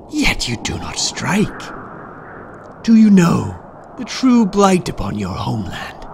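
Putting on a menacing character voice, a man speaks at a fairly slow pace over clear background noise. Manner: menacing, seductive, mocking.

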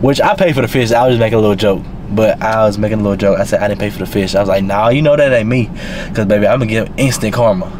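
Noticeable background noise sits behind a man who speaks very fast at a medium pitch with fairly even intonation. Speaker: vlogger. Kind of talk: casual vlog chat. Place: car.

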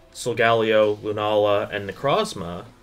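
Faint music plays in the background as a man with a fairly low pitch talks at a moderate pace. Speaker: video essay host. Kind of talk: commentary. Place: home room. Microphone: camera far.

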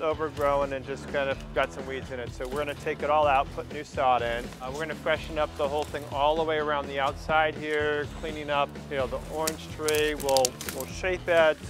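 A man speaks at a fairly quick pace with hardly any pauses and fairly even intonation. The sound is dry with no echo, and clear music plays in the background. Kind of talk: casual vlog chat. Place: garden. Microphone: lapel.

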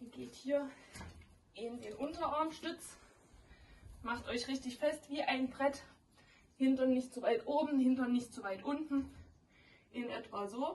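Speaking very slowly, a woman uses a high pitch with big swings in loudness. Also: ordinary pitch variation. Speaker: fitness instructor. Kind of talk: workout tutorial. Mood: playful, joking. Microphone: camera far.

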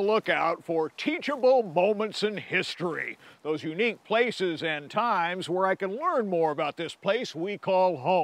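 The voice has lively intonation in a dry sound with no echo. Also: man. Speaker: TV travel show host. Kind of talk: presenter to camera. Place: forest. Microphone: lapel.

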